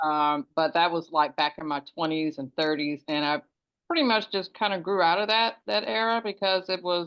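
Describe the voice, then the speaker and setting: Lively in intonation, a woman with a fairly low voice talks at a moderate pace. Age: 60s. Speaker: herbalist facilitator. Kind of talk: casual chat. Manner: halting.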